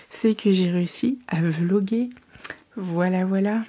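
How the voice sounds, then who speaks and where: A woman speaks soft-spoken and somewhat breathy, with a dark, mellow tone. Her pace is very slow and her intonation fairly even. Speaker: book vlogger. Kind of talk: casual vlog to camera. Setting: at home at night. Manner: soft-spoken, quiet.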